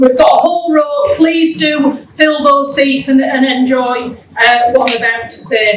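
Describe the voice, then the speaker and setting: A woman with a Yorkshire accent talks amid noticeable background noise and audible room echo. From Yorkshire, northern England (Keighley). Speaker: education programme official. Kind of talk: welcome speech. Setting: event hall with live audience.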